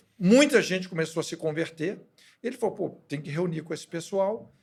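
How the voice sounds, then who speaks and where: On a very clean recording with a silent background, a man talks at a moderate pace in a high pitch with lively intonation. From Brazil, Belo Horizonte (Minas Gerais). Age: 60s. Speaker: pastor. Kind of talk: testimony.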